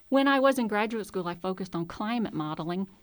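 A woman with a Southern US accent is heard in a very clean recording with a silent background. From Mississippi. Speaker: college professor. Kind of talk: casual interview. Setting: studio.

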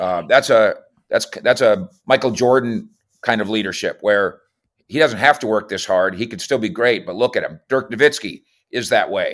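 An unremarkable speaking voice from a man with an American accent, lively intonation at a moderate pace. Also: medium pitch for a man, very clean recording, silent background. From Minnesota. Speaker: NFL reporter. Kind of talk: casual sports talk interview.

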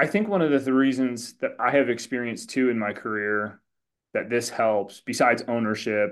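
In a quiet background, a man with an ordinary speaking voice talks at a moderate pace and medium pitch, with ordinary pitch variation. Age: 40s. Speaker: podcast host. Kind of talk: interview.

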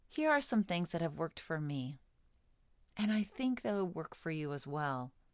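An ordinary speaking voice from a woman, fairly low in pitch with lively intonation, in a very clean recording with a silent background. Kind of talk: guided meditation. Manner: soothing, slow and gentle, with calm pauses; warm, inviting, and nurturing.

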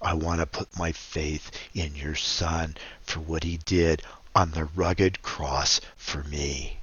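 A man speaks at a very slow pace. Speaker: ministry founder and radio host. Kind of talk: religious talk show with puppet characters.

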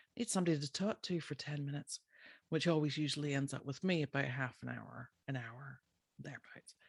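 A woman speaks with an Irish accent in a very deep, low pitch. The recording is very clean, silent in the background, and dry and close with no echo. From Ireland. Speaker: podcast host, animal health practitioner. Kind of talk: casual solo podcast talk.

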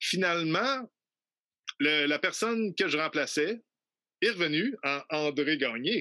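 A man with a fairly high pitch and a bright, sharp tone talks at a very slow pace, with long, frequent pauses. His intonation is lively and his loudness stays very even. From Quebec City, Quebec. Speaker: traditional musician. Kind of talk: interview. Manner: halting.

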